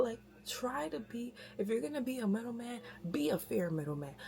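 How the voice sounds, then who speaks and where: A woman whispers at a moderate pace. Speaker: vlogger. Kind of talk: casual religious advice talk. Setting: kitchen at home. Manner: whispering; usually loud.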